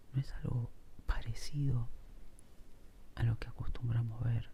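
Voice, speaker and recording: Soft-spoken, a man talks with long, frequent pauses. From Argentina. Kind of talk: ASMR soft-spoken casual musing while drawing. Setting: home recording with heavy rain in background.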